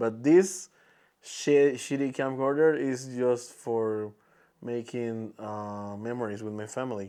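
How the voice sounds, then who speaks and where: At a very slow pace, a man with a Spanish accent speaks in a dark, mellow tone at medium pitch, with ordinary pitch variation and big swings in loudness, over a quiet background. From Peru. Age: 20s. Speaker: podcaster and content creator. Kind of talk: casual monologue podcast. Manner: halting, many restarts and fillers.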